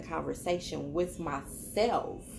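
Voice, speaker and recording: A woman speaks with vocal fry over noticeable background noise. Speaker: tarot reader vlogger. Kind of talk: casual vlog chat. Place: home room. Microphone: phone near.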